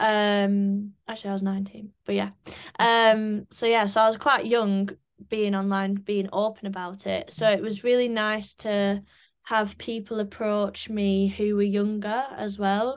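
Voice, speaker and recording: A woman speaks in a flat monotone at a fairly slow pace. The background is quiet. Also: medium pitch for a woman. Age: 20s. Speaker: menopause awareness advocate. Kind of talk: interview. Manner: casual, many fillers.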